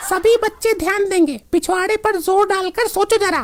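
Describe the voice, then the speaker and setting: A woman uses a cartoonish character voice at an extremely high pitch, keeping fairly even intonation, very even loudness and a moderate pace. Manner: scolding, domineering.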